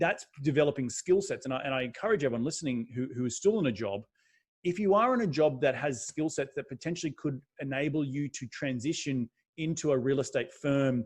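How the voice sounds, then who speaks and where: A somewhat breathy man with an Australian accent, fairly high in pitch, with ordinary pitch variation and a fairly quick pace, against a quiet background. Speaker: real estate investor. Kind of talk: podcast interview. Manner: animated.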